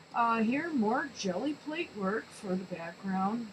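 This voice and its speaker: A woman with a fairly high pitch speaks against noticeable background noise. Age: 60s. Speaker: amateur artist and crafter. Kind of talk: show-and-tell tutorial. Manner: hesitant, many fillers.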